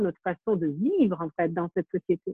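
A normal speaking voice with ordinary pitch variation. The pace is fairly quick. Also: woman. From Ukraine. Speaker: documentary filmmaker. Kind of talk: interview.

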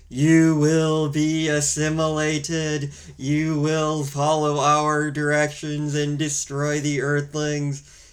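A man uses a put-on, robotic character voice at a fairly high pitch, speaking in a flat monotone at a very slow pace over light background noise. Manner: emotionless, menacing.

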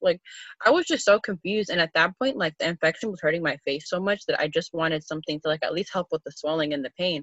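Talking at a very fast pace, a woman with an American accent uses a fairly low pitch and ordinary pitch variation. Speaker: podcast co-host. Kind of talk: casual chat.

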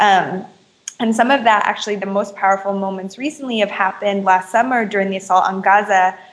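This woman has an unremarkable speaking voice with an American accent and a medium pitch. She talks at a fairly quick pace with fairly even intonation. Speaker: activist. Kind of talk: interview.

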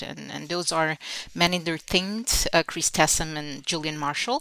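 With a Portuguese accent, a woman speaks in a bright, sharp tone at a fairly low pitch, the sound dry and close with no echo. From Portugal. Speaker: engineering professor. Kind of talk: interview. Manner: halting, many fillers and repetitions.

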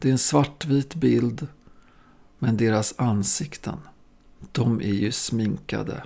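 A man's dark, mellow tone at a very slow pace. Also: very clean recording, silent background. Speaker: podcast host, drummer. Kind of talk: scripted narration.

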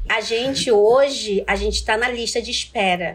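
A woman's fairly high-pitched voice at a fairly slow pace, in a very clean recording with a silent background. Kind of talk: interview testimony.

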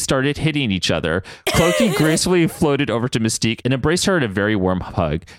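Someone reads the words aloud in a plain way.

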